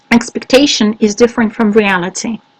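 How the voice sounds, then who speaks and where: In a Russian accent, a woman speaks at a moderate pace with a fairly high pitch and fairly even intonation. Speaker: English teacher trainer. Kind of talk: webinar Q&A. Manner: halting, many fillers.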